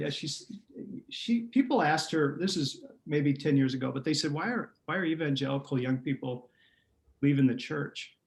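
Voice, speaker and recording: Here a man speaks at a moderate pace with a fairly high pitch and a somewhat breathy sound. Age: 60s. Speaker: pastor. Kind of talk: interview.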